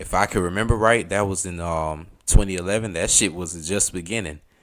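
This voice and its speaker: A man with a strong Southern US accent speaks at a moderate pace in an animated tone. The recording is very clean, with a silent background. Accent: thick southern US. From US South, Atlanta. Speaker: streamer. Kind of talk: casual chat. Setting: live stream.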